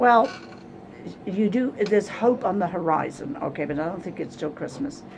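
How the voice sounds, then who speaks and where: At a moderate pace and medium pitch, a woman talks with lively intonation over noticeable background noise. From England. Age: 70s. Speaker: psychic reader. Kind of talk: psychic reading session. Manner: blunt, direct.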